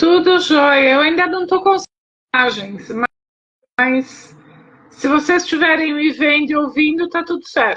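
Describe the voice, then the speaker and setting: A woman with a high voice speaks at a fairly slow pace, with ordinary pitch variation. Her speech has long, frequent pauses. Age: 50s. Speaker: pharmacist, program client sharing testimony. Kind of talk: testimony in live interview. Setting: live video call. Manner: hesitant.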